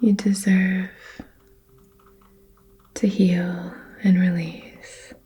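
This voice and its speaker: Soft-spoken and gentle in tone, the voice moves at a very slow pace with fairly even intonation and long, frequent pauses over noticeable background noise. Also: woman, medium pitch for a woman. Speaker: reiki practitioner ASMR creator. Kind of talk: reiki healing session, personal attention roleplay. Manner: soft-spoken, gentle, supportive.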